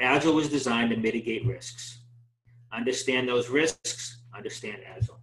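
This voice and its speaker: A medium-pitched man talks with a Boston accent. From Boston, US. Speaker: project management trainer. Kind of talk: webinar presentation. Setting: online webinar. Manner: fast.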